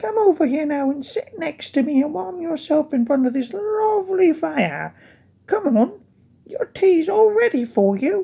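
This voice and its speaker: This put-on character voice is high-pitched and moves at a moderate pace. Its pitch swings very widely. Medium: read story. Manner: doting, cooing.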